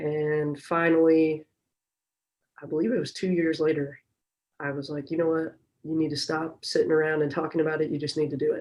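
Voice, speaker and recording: Long, frequent pauses break up a woman's fairly quick, monotone delivery, her very deep, low voice carrying an American accent. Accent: Chicago accent, now said to sound Southern. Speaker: strength and conditioning coach. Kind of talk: podcast interview.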